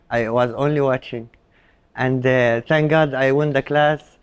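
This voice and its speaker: A man with an Arabic accent, fairly high pitch and fairly even intonation, at a moderate pace. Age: young. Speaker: Arabian horse show handler. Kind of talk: interview. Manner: halting, many fillers.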